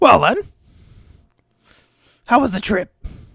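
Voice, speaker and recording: His pitch is extremely high. The man is doing a put-on character voice. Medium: actual play.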